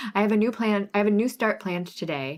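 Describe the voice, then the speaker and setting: This woman's voice sits at a medium pitch and moves at a very fast pace. The recording is very clean, the background silent. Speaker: cross stitch designer and live sale host. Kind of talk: live stream sale with chat. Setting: live stream. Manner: animated.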